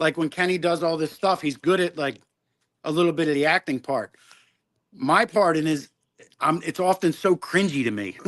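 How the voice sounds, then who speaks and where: Speaking with a Philadelphia accent, a man uses a high pitch for a man and ordinary pitch variation at a moderate pace, leaving long, frequent pauses in a dry, close sound with no echo. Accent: Delco (Philadelphia area). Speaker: rock band member. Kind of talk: casual chat. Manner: halting, many fillers.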